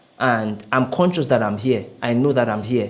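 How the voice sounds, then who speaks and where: A man with a normal speaking voice talks at a moderate pace, his pitch in the medium range. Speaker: public speaker. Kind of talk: interview.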